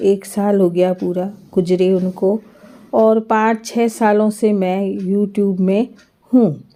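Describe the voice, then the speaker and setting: A woman of medium pitch speaks in a dark, mellow tone with monotone, flat intonation. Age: 60s. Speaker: home cooking and lifestyle vlogger. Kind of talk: personal vlog, life story. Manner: halting, with filler sounds.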